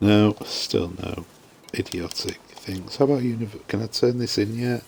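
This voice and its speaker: Mumbling with a British accent, a man speaks at a fairly slow pace in a fairly low pitch and fairly even intonation, over noticeable background noise. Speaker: video game streamer. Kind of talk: live gameplay commentary. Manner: mumbling to himself.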